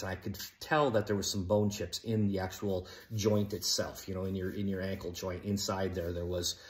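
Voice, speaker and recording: Here a man is talking. There is a somewhat breathy quality to his voice. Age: 60s. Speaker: YouTuber sharing patient experience. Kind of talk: casual personal vlog. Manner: conversational with many fillers.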